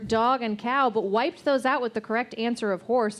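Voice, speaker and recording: A woman with a high pitch amid noticeable background noise. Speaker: scorekeeper and show co-organizer. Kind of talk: live quiz show comedy. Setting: stage with audience.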